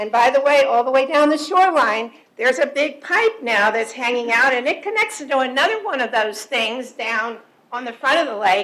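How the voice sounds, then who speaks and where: A woman with a high voice talks at a moderate pace with lively intonation over noticeable background noise. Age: 70s. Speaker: resident speaking at public comment. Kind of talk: public comment at board meeting. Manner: animated.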